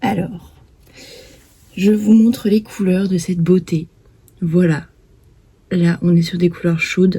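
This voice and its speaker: Pausing long and often, a woman speaks at a very slow pace and medium pitch with fairly even intonation. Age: 20s. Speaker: crafting vlogger. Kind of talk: casual chat. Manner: calm.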